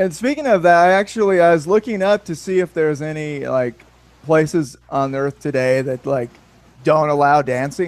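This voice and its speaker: Speaking at a moderate pace, a man with a fairly high pitch and ordinary pitch variation has an unremarkable speaking voice. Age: 30s. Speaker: podcast host. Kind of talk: casual chat. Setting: video call.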